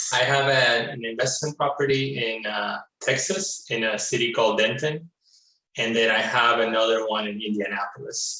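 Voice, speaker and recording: Speaking in a Spanish accent, a man keeps a moderate pace, a medium pitch, and ordinary pitch variation. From Florida, US. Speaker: real estate investor, client. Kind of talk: interview.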